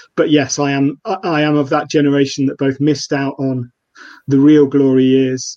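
With an East Midlands accent, a man speaks at a fairly high pitch. His intonation is monotone and flat. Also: moderate pace. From Nottingham, England. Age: 30s. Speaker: freelance journalist and football fan. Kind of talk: casual football podcast interview. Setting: live streamed remote call.

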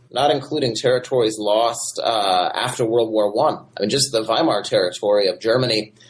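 The speaker has an American accent and a somewhat breathy voice with ordinary pitch variation. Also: man. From Michigan, US Midwest. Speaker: history professor. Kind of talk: interview. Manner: halting with many fillers.

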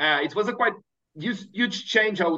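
A man with a Portuguese accent at a fairly quick pace. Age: 30s. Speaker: startup founder. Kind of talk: interview.

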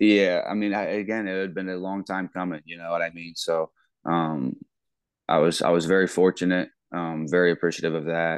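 Against a quiet background, a man with a Midwestern American accent talks at a fairly quick pace in a very deep, low pitch with fairly even intonation. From Ohio, US Midwest. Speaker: college football coach. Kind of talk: casual interview.

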